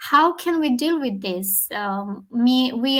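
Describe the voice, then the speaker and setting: A woman with a high pitch and a non-native accent. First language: not English. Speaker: leadership talk show co-host. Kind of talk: casual discussion. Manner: halting.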